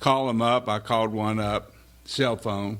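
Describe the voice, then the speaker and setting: A man talks at a moderate pace and fairly low pitch, in a plain, everyday voice. The recording is very clean, with a silent background. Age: 60s. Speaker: political candidate. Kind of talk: campaign speech. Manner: casual, joking.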